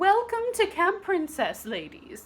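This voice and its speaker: In a put-on character voice that sounds female, the speaker goes at a fairly slow pace with an extremely high pitch. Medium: read story. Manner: prim, proper.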